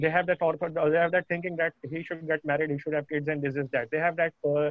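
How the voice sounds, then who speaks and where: Speaking very fast, a man keeps his fairly high pitch in a monotone, flat intonation. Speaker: program participant. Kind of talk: question and answer. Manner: hesitant, many fillers.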